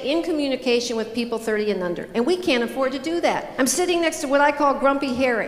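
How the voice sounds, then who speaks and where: An animated woman's voice, high in pitch with ordinary pitch variation, amid audible room echo and noticeable background noise. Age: 60s. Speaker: motivational speaker. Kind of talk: keynote speech.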